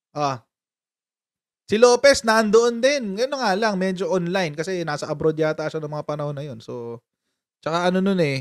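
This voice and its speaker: A man speaks at a fairly quick pace in an animated tone with lively intonation. The sound is dry with no echo over a quiet background. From Philippines. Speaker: political commentary YouTuber. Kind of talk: casual live-stream commentary. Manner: animated, laughing often. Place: home room. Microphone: studio mic.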